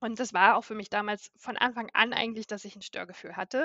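This woman has a fairly high-pitched voice. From northern Germany, Baltic coast. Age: 30s. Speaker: patient with a chronic illness. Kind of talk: interview. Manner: frequent filler sounds.

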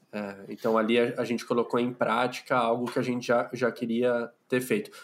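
A man with an unremarkable speaking voice talks at a medium pitch. His pace is moderate. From São Paulo city, Brazil. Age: 30s. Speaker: podcaster, clinical psychologist. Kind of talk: casual interview chat.

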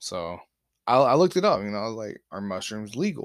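Talking at a fairly quick pace in an American accent, the speaker is heard on a very clean recording with a silent background. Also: man. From Alabama, US South. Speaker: podcast host. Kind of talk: casual storytelling. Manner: animated.

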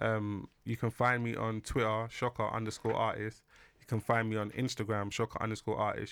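Speaking at a fairly quick pace with a London accent, the voice stays monotone and flat in a very clean recording with a silent background and a dry, close sound with no echo. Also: man. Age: 30s. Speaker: musician. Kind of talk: casual chat.

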